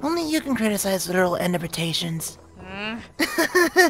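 A put-on character voice speaks at a fairly slow pace. Music plays in the background. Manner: casual, friendly.

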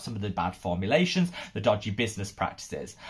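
A man at a fairly quick pace, pitch swinging very widely, against a quiet background. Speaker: skincare youtuber. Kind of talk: casual vlog commentary. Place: home room.

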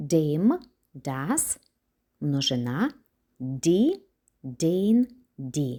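A woman with a very deep, low pitch and a dark, mellow tone, very wide pitch swings and a very slow pace. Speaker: German language teacher. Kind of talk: lecture.

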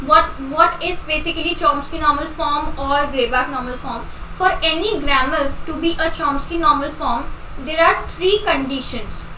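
A woman uses a raised, projected voice at a moderate pace, with audible room echo and light background noise. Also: ordinary pitch variation. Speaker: online exam tutor. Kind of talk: lecture.

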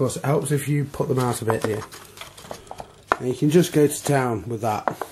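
Amid noticeable background noise, a man speaks at medium pitch and a moderate pace with ordinary pitch variation, big swings in loudness, and long, frequent pauses. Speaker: toy reviewer. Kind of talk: product review. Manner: enthusiastic.

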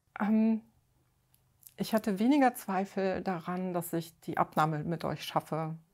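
Long, frequent pauses break up a woman's speech at medium pitch with ordinary pitch variation. The recording is very clean, with a silent background. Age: 50s. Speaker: weight-loss coaching client. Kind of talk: interview. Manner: halting, many fillers.

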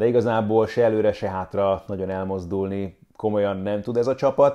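A man's dark, mellow tone at a fairly low pitch, with fairly even intonation over a quiet background. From Hungary. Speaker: sports commentator and YouTuber; sports commentator, YouTuber. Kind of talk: football match preview. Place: home room.

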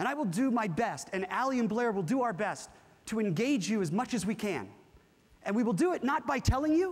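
An animated man with an American accent speaks at a fairly quick pace with lively intonation. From California. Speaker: corporate workshop presenter. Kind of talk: interactive workshop talk with audience. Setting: stage with live audience. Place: hall. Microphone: lapel.

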